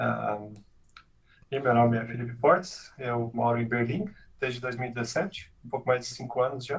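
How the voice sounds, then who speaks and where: Somewhat breathy, a man speaks at medium pitch with ordinary pitch variation. His pace is moderate, broken by long, frequent pauses. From Brazil, Santa Catarina and Goiânia. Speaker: software engineering manager. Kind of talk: casual interview chat. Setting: live stream video call.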